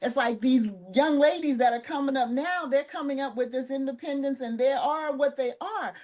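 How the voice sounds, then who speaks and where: Amid noticeable background noise, a woman talks at a high pitch with ordinary pitch variation. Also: moderate pace. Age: 60s. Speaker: mentor and speaker. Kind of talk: interview.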